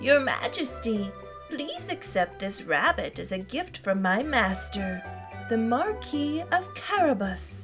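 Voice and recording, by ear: Clear music plays behind a woman doing a put-on character voice. She goes slowly at a fairly high pitch, with big pitch swings.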